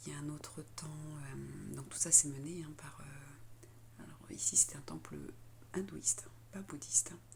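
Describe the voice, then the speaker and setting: A soft-spoken woman talks at a fairly slow pace. Her loudness swings a lot, and background noise is noticeable. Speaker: spiritual vlogger. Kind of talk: vlog. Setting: ashram dormitory. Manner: halting.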